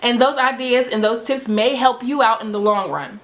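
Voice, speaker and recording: With noticeable background noise, the speaker goes at a fairly quick pace, using lively intonation and an animated tone. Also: woman. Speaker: natural hair vlogger. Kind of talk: tutorial. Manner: fast.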